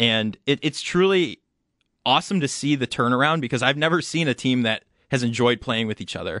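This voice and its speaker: In a dry, close sound with no echo and a quiet background, a man with an American accent talks fairly quickly at a medium pitch, his tone bright and sharp. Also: ordinary pitch variation. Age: 20s. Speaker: radio trainee. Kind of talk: casual chat. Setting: studio.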